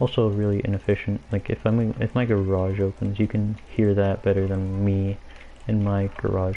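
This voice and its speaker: A soft-spoken man with a dark, mellow tone, very even loudness, flat monotone intonation and a moderate pace. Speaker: gaming streamer. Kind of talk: casual live gameplay commentary. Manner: quiet, soft-spoken.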